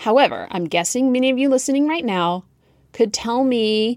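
Moderate pace and lively intonation on a very clean recording with a silent background. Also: woman. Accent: American. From US South. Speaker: podcast host and writing coach. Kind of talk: podcast monologue about writing.

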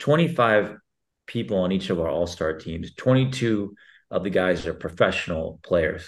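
A plain, everyday voice speaks at a moderate pace with ordinary pitch variation over a quiet background. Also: man. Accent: American. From Texas. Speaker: sports league CEO. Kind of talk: interview.

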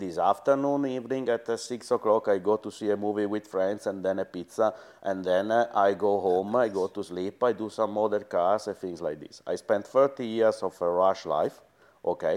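Over a quiet background, a man with an Italian accent and fairly low pitch speaks at a moderate pace with ordinary pitch variation. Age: 50s. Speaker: former rally team boss. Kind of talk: interview. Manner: halting.

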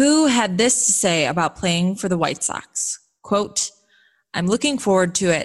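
A woman with an American accent has an unremarkable speaking voice at a medium pitch. She speaks at a moderate pace in a very clean recording with a silent background. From Chicago western suburbs. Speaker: sports podcast host. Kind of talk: news reading; interview.

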